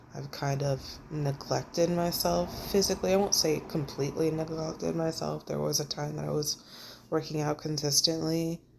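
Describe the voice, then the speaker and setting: Noticeable background noise runs under speech at a moderate pace. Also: woman. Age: 30s. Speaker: vlogger sharing personal journey. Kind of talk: personal vlog monologue. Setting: recording alone to camera. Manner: casual, halting.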